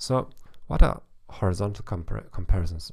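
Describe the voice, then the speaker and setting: Speaking at a fairly quick pace with a German accent, a man shows vocal fry and ordinary pitch variation. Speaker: psychologist, author and German teacher, podcast host. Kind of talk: podcast monologue, informative talk.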